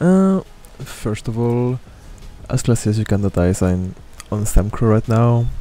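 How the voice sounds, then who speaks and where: Lively intonation runs through this man's medium-pitched, dark and mellow voice as he goes at a fairly slow pace with long, frequent pauses. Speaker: video game streamer and guide maker. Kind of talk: game guide commentary. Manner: casual, hesitant.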